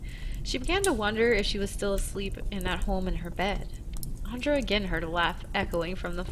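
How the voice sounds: This is a natural reading voice. The delivery sounds like ordinary reading aloud.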